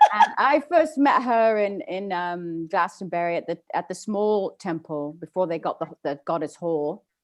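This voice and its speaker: A woman speaks with a British accent at a medium pitch. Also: lively intonation, fairly slow pace, hardly any pauses. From England. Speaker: spiritual workshop leader. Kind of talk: workshop Q&A chat.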